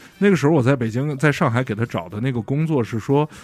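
Noticeable background noise under a fairly quick delivery with lively intonation. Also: man. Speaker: podcast guest. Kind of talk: casual chat.

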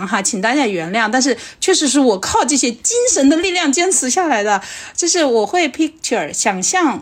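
A woman's high, animated voice at a fairly quick pace, pitch swinging very widely, over noticeable background noise. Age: 40s. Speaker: podcast host and comedian. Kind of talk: casual chat.

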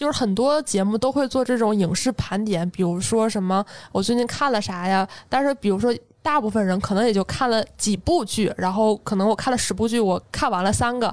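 A woman's fairly high, a normal speaking voice at a fairly quick pace, with ordinary pitch variation and very even loudness, on a very clean recording with a silent background. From Northeast China, Jilin. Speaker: podcast host. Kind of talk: casual chat.

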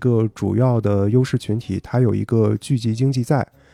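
A man's dark, mellow voice at medium pitch with fairly even intonation, dry and close with no echo, over a quiet background. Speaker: PhD candidate. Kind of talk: casual chat.

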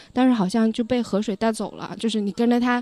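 A woman speaks at a very fast pace in a fairly high voice. Her tone is dark and mellow, with fairly even intonation. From Lanzhou, northwest China. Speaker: podcast guest. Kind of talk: casual chat. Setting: outdoors by a river.

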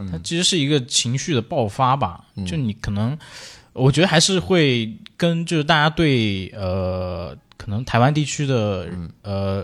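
This man has a medium-pitched voice with very wide pitch swings and speaks at a fairly slow pace. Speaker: podcast co-host. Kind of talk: casual chat, music sharing.

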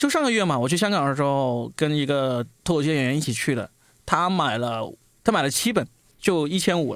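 A man talks in an ordinary speaking voice, fairly high in pitch, at a fairly quick pace with lively intonation. The recording is very clean, with a silent background. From Guangdong. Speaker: podcast host. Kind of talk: casual chat.

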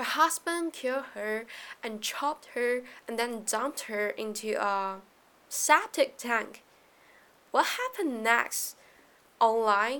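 A woman's high, bright, sharp voice in a Chinese accent, very slow, with long, frequent pauses and ordinary pitch variation. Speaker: podcast host. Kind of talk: solo podcast talk on economics. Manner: casual, with fillers.

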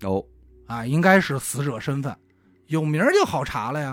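A man is talking. There is a silent background, and the recording is very clean. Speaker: podcast co-host telling a true-crime case. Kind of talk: casual storytelling of a crime case. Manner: colloquial with many filler sounds.

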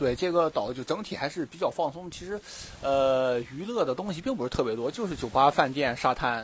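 A man talks fairly fast in a fairly high voice. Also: big swings in loudness. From Dalian, northeast China. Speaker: scuba diver and dive instructor. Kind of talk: casual interview chat. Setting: outdoors on a beach. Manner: hesitant with many fillers.

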